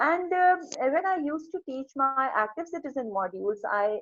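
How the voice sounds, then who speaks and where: A woman's high voice makes very wide pitch swings in a dry, close sound with no echo. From Pakistan. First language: not English. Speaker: psychology professor. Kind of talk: video interview. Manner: halting.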